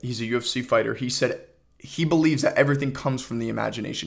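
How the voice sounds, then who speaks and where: A man in a normal speaking voice talks at a fairly quick pace with ordinary pitch variation. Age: 20s. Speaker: podcast host and aspiring filmmaker. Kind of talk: solo casual monologue. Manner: casual, with frequent fillers and repetitions.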